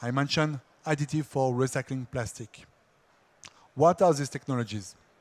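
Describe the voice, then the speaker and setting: A man speaks at a fairly quick pace in a fairly high pitch, with ordinary pitch variation and long, frequent pauses. The recording is very clean with a silent background. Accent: French. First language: French. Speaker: industry R&D engineer. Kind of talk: conference presentation.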